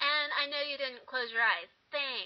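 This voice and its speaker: With noticeable background noise, a woman speaks in a high voice with an American accent. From eastern Washington State, US. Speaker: vlogger. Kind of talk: casual vlog. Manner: animated. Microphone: poor audio.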